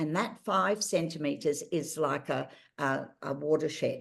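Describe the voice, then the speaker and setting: A woman speaks with an Australian accent at a fairly slow pace, her pitch fairly low with ordinary variation. The background is quiet. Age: 70s. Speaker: patient advocate. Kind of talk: interview.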